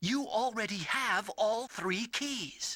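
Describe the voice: A put-on character voice with a bright, sharp tone and lively intonation moves at a slow pace. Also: man, high pitch for a man.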